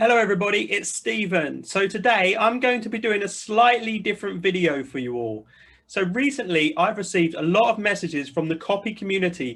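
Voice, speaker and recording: With lively intonation, a man speaks at a high pitch. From UK. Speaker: full-time investor. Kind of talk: personal introduction to camera.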